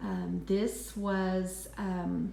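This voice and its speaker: A woman with an American accent amid audible room echo and noticeable background noise. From West Texas. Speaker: handbag reviewer, vlogger. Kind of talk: product review. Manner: hesitant, many ums.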